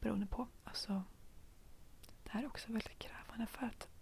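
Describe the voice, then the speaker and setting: A woman whispering in a Stockholm accent. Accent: Stockholm Swedish. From Stockholm, Sweden. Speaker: ASMR youtuber. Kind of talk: ASMR rambling chat. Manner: soft-spoken; hesitant, many fillers.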